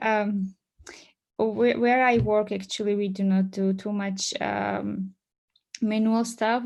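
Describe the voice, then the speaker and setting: The woman speaks with monotone, flat intonation. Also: quiet background. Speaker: conference presenter on databases; conference presenter. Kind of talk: technical presentation. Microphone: video call.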